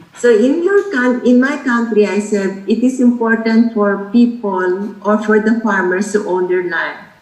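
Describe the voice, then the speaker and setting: A woman speaks at a fairly slow pace in a fairly high pitch. Noticeable background noise can be heard. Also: ordinary pitch variation, hardly any pauses. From Philippines. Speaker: sociology professor. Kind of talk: lecture.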